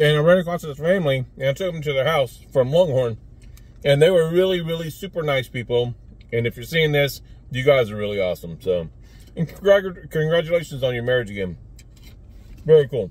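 A man's somewhat breathy voice at a fairly quick pace, the sound dry with no echo. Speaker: food reviewer vlogger. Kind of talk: casual vlog chat. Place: car. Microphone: phone near.

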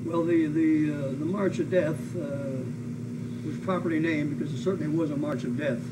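A man's voice with long, frequent pauses under loud background noise. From US Pacific Northwest. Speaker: WWII veteran and former prisoner of war, aviator. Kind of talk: oral history interview, elder life story of wartime captivity and rescue. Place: home room.

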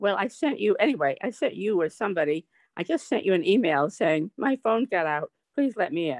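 A woman of medium pitch talks at a fairly quick pace with very wide pitch swings over a quiet background. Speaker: poet and novelist; poet. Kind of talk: poem reading. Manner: lively, animated reading. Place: home room. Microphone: video call.

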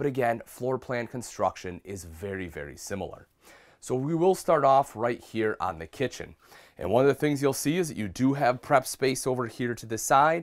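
A man's lively, up-and-down delivery with vocal fry and big swings in loudness. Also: medium pitch for a man, moderate pace. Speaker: RV product specialist. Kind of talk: product walkthrough review. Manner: casual, conversational.

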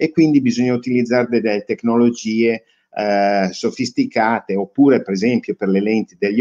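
Over a quiet background, a man talks at a fairly slow pace with a dark, mellow tone and ordinary pitch variation. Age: old. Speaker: robotics company owner; interviewee. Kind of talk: interview. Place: home room.

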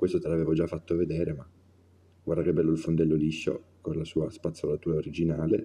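A man speaks very fast in a very deep, low, dark and mellow voice with monotone, flat intonation. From Turin, Italy; Italy. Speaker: watch collector. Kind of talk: casual video presentation. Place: home room.

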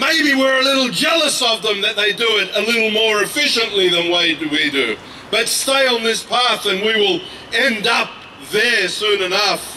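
A raised, projected voice speaks with an Australian accent at very even loudness. Light background noise can be heard. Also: man, high pitch for a man, ordinary pitch variation, moderate pace. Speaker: activist; speaker. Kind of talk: protest speech. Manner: impassioned. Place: street. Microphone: handheld.

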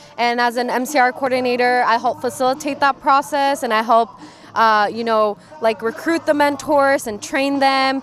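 Music plays in the background. The sound is dry, with no echo. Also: woman, high pitch for a woman, fairly even intonation, moderate pace. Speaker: university multicultural programs staff member. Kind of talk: halftime interview, explaining programs. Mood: warm, upbeat, smiling. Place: stadium. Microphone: handheld.

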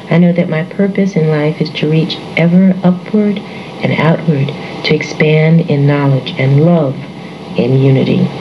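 Fairly slow, very evenly loud speech from a woman with an American accent, very deep and low in pitch, with fairly even intonation, audible room echo and noticeable background noise. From New York City. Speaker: psychology lecturer. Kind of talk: reading aloud of affirmations. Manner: calm, measured.

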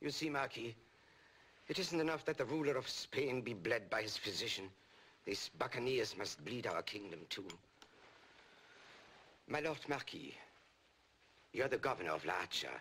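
Over light background noise, a man with vocal fry speaks at a moderate pace, his pitch swinging very widely. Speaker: actor playing a king. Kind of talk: scripted film dialogue. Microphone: old recording.

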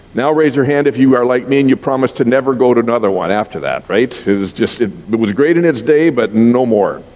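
The speech moves at a very fast pace. It is a man, his pitch varying in an ordinary way. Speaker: pastor. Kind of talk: sermon. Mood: warm, humorous storytelling. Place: church.

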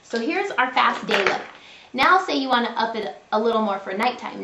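A woman talks at a fairly quick pace. Her voice carries audible room echo over light background noise. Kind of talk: tutorial. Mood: friendly, upbeat. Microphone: webcam.

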